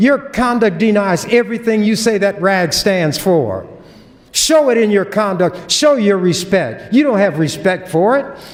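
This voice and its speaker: A man with a high voice speaks at a fairly slow pace, his intonation lively and his loudness very even, over noticeable background noise. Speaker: state legislator. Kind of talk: legislative floor speech. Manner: forceful, confrontational.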